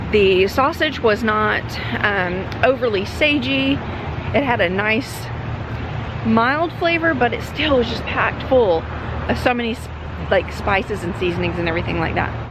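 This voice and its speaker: At a moderate pace broken by long, frequent pauses, the voice makes very wide pitch swings, with a dry sound lacking echo and noticeable background noise. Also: woman. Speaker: travel vlogger. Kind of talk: casual vlog chat. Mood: cheerful, chatty food review. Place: street. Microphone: phone near.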